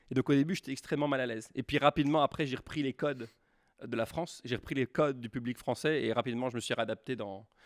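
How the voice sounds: In a very clean recording with a silent background and a dry, close sound with no echo, a man with a slight Quebec accent talks at a very fast pace in a medium pitch with fairly even intonation. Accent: French with slight Québécois tinge.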